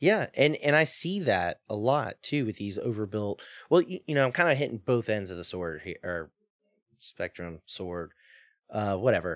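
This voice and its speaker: A man's medium-pitched voice with an American accent, at a moderate pace, with very wide pitch swings and big shifts in loudness, dry and close with no echo, on a very clean recording with a silent background. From US Mississippi Gulf Coast. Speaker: drift company owner. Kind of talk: casual chat.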